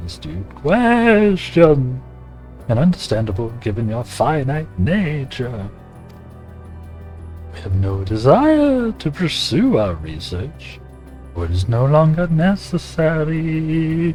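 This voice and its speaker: Clear music plays behind a man using a put-on character voice at a medium pitch and a fairly slow pace. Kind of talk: formal, archaic. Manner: eerie, stilted, formal.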